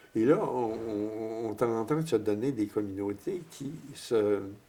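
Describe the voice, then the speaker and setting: The speech is very slow. Noticeable background noise is present. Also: man. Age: 80s+. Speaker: priest. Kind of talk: interview. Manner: halting, many repetitions.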